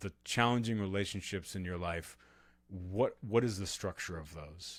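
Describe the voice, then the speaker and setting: A man with an American accent speaks in a plain, everyday voice at a fairly low pitch and moderate pace, with ordinary pitch variation and big swings in loudness. The recording is very clean, with a silent background. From Texas, Austin. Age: 40s. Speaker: author and podcaster. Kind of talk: interview conversation.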